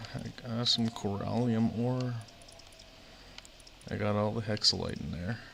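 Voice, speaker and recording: Soft-spoken and at a medium pitch, a man speaks at a fairly slow pace with fairly even intonation and long, frequent pauses. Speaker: video game streamer. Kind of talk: casual gameplay commentary. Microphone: quiet mic.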